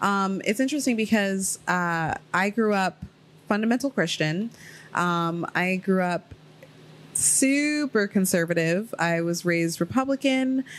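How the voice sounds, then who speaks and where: A woman with an American accent has a normal speaking voice, medium pitch and lively intonation. She talks at a fairly slow pace with very even loudness. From Ohio, US. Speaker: podcast host. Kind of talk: casual chat.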